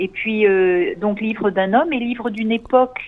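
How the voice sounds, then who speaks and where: A woman's voice at a medium pitch. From USA, New York. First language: English (speaking French). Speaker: author, daughter of a photographer. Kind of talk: radio interview. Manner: hesitant, many fillers.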